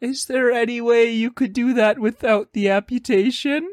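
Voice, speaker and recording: A woman does a put-on character voice at a high pitch and moderate pace, on a very clean recording with a silent background. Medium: actual play. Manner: teasing, then sheepish.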